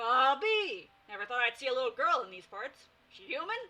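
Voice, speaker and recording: A woman puts on a growling character voice, pitched high with very wide swings, at a moderate pace. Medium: read story. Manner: growling, teasing.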